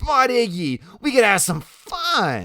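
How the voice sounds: A put-on character voice, bright and sharp in tone, swings very widely in pitch. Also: man.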